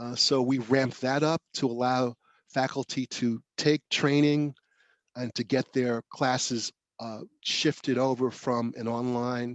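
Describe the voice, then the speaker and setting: Against a quiet background, a man with a New York accent speaks at a fairly slow pace and medium pitch, with monotone, flat intonation in a dry, close sound with no echo. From New York, South Bronx. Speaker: professor. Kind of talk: lecture. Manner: halting, many fillers and restarts.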